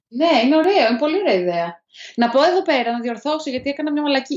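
A woman talks with very wide pitch swings. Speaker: podcast co-host. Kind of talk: casual chat. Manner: animated. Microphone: poor sound quality, mic misused until now.

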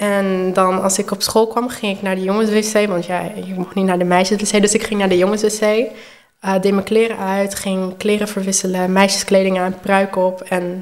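The intonation is monotone and flat. It belongs to a woman with a medium pitch. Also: moderate pace. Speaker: transgender woman sharing her story, hairdresser. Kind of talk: personal testimony in interview.

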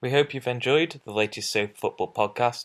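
With lively intonation and a moderate pace, a man speaks in a normal speaking voice at medium pitch on a very clean recording with a silent background. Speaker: podcast host. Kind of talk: casual interview.

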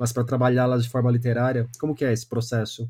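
A man speaks in a dark, mellow tone at a medium pitch. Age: 30s. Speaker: podcast host and book columnist. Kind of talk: interview.

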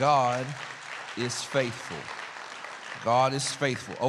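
A man with an American accent speaks at medium pitch in an animated tone. Crowd noise fills the background. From Louisiana, Alexandria. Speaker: guest preacher. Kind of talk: sermon. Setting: church.

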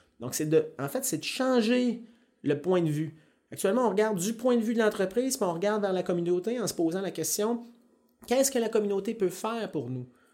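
At a fairly quick pace, a man talks with a high pitch and a dark, mellow tone. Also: lively intonation. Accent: Quebec. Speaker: mining company environmental manager. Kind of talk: interview. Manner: halting.

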